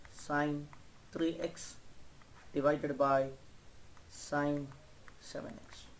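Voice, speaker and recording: Audible room echo surrounds a man's voice. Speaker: math teacher. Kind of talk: lecture. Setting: online class.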